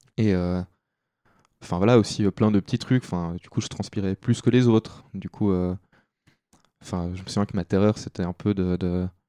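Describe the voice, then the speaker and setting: Against a quiet background, a man with a fairly low pitch speaks at a fairly slow pace, his intonation fairly even, his loudness swinging widely, and his pauses long and frequent. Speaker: podcast guest sharing life story. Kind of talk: personal testimony. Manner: hesitant, many fillers.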